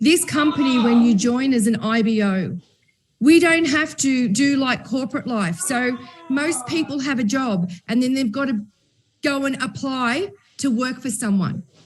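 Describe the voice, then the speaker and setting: A loud, high-pitched woman's voice with lively intonation at a fairly slow pace. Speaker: company executive and event host. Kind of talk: panel discussion. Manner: animated.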